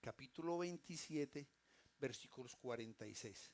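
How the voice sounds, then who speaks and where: Here a man talks at a moderate pace and a fairly high pitch. He has a normal speaking voice. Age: 60s. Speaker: pastor. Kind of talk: sermon. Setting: church.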